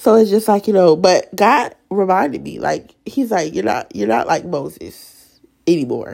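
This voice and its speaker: A woman with a medium pitch talks at a moderate pace, her pitch swinging very widely. Vocal fry runs through her voice. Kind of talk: testimony. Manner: emotional; casual, chatty.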